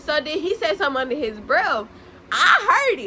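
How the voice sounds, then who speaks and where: Over noticeable background noise, a woman with a high pitch uses a raised, projected voice, swinging her pitch very widely at a moderate pace. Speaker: YouTuber. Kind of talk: storytime vlog. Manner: loud; animated.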